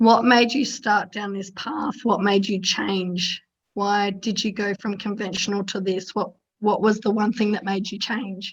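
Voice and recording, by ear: In a put-on character voice, a woman speaks at medium pitch and a moderate pace, sounding raspy and hoarse. Her intonation stays monotone and flat.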